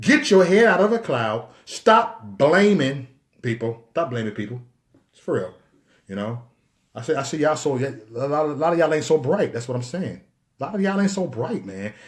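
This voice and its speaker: A man with a fairly high, somewhat breathy voice talks at a moderate pace, with very wide pitch swings and big swings in loudness. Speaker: live-stream commentator. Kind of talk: live stream monologue. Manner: animated.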